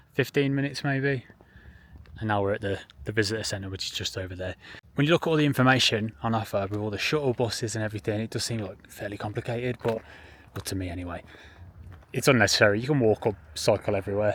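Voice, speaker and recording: This man talks at a very fast pace with an English accent. His pitch is fairly low, with ordinary variation. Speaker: travel vlogger. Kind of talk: casual vlog chat. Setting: outdoors.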